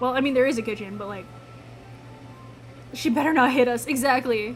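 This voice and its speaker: In a Midwestern accent, a woman talks at a very fast pace with a high pitch and fairly even intonation, with audible room echo and music in the background. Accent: Midwest. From US Midwest. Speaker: gaming streamer. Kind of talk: live gameplay commentary, reading game dialogue aloud. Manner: casual, chatty.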